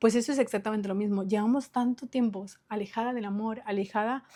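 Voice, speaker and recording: A woman's fairly high voice, dark and mellow in tone with ordinary pitch variation, comes through a very clean recording with a silent background. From Ecuador, Latin American family. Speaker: podcaster, self-help coach. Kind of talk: motivational talk / class. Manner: fast; animated.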